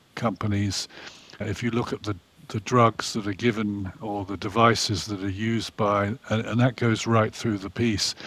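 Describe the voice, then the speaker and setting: A man with a fairly low voice speaks in an American accent at a moderate pace. His intonation is monotone and flat. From Orange County, California, US. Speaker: private equity investor. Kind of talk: interview.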